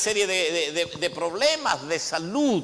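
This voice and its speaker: A man's raised, projected voice, high-pitched, very slow, with very wide pitch swings. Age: 60s. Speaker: apostle, pastor. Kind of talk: sermon. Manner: hesitant repetitions.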